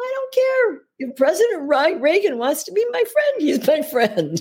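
A put-on character voice is pitched high with a strong Russian accent. Its pitch swings very widely. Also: moderate pace. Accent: thick Russian.

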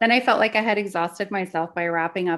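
A woman with a Canadian accent and an ordinary speaking voice, medium in pitch, fairly even in intonation and fairly quick, in a quiet background. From Canada. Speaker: podcast co-host, spiritual mentor and psychic medium. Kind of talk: personal storytelling.

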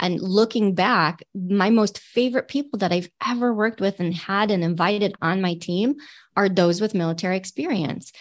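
A normal speaking voice with an American accent, moderate pace, ordinary pitch variation, very even loudness and a quiet background. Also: woman, medium pitch for a woman. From Michigan, near Detroit. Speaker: military veteran and leadership trainer. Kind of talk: interview.

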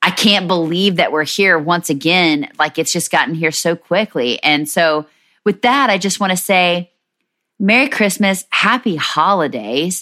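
Speaking at a fairly slow pace, a woman has a fairly low pitch, a bright, sharp tone and lively intonation. The recording is very clean, with a silent background. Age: 40s. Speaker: podcast host, military spouse. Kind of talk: casual monologue. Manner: animated.

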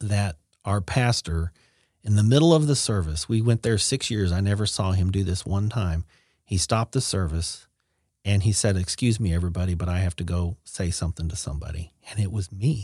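In a very clean recording with a silent background and a dry, close sound with no echo, a man speaks at a moderate pace and fairly low pitch, somewhat breathy and dark, mellow in tone, with ordinary pitch variation. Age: 40s. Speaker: hospice nurse. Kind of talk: testimony.

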